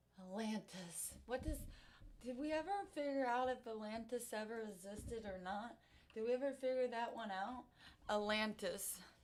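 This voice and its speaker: Noticeable background noise sits behind a woman speaking at a moderate pace with ordinary pitch variation. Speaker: live streamer. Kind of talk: casual chat. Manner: halting.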